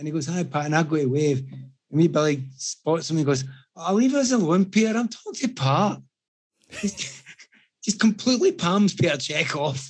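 A man with a strong Scottish accent talks at a moderate pace and fairly high pitch, his intonation lively. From Scotland. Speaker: podcast guest telling anecdotes. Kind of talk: casual chat. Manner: animated storytelling.

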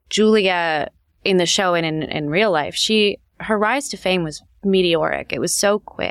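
A woman with a West Coast accent, medium pitch and ordinary pitch variation, speaking fairly slowly in a very clean recording with a silent background. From Los Angeles. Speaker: TV writer. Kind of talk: interview.

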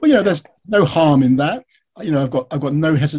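In an English accent, a man with a fairly high pitch speaks in a dark, mellow tone that is somewhat breathy. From England. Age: 50s. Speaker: author and biographer. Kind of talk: interview.

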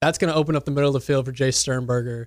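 Speaking with an American accent, a man uses an ordinary speaking voice with fairly high pitch and fairly even intonation. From Mississippi, later West Texas from 14. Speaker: sports radio producer and reporter. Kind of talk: casual sports chat.

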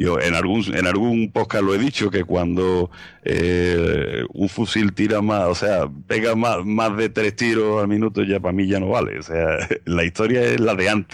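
A man at a fairly slow pace, fairly low in pitch, with very even loudness and ordinary pitch variation. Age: 40s. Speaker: history podcaster. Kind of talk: casual interview.

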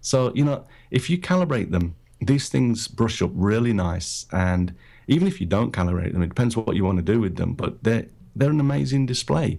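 A man with a British accent speaks at a medium pitch and a fairly quick pace, with very wide pitch swings. His loudness stays very even, and the recording is very clean with a silent background. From Britain. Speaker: photographer and podcaster. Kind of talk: casual interview chat. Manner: hesitant, filler-heavy.

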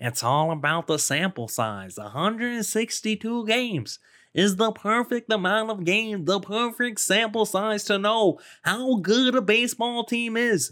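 A put-on character voice from a man, pitched high and delivered fairly slowly. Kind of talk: nerdy, analytical.

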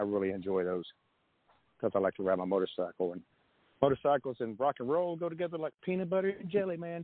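A man with a Southern US accent, medium pitch and very wide pitch swings at a very fast pace. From US South, Nashville area. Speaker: rock musician. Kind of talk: casual interview chat. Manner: fast talker.

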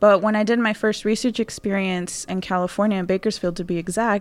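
This woman has a plain, everyday voice at medium pitch and talks at a fairly quick pace. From Houston, Texas. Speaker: PhD student and soil scientist. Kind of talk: interview.

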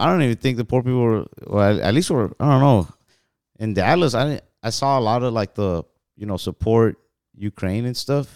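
A man's medium-pitched voice with an American accent, moderate pace and ordinary pitch variation, dry and close with no echo in a very clean recording with a silent background. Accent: Mexican American. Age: 20s. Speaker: comedian. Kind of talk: casual chat.

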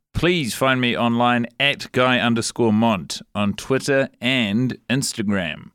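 A man speaks very slowly with hardly any pauses, his medium pitch showing ordinary variation and his loudness very even, in a very clean, dry, close recording with no echo and a silent background. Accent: New Zealand. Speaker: comedian. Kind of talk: casual comedic chat.

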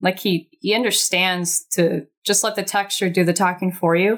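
A woman's medium-pitched voice with an American accent at a moderate pace, on a very clean recording with a silent background. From Laguna Beach, California. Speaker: artist and illustrator. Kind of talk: casual interview.

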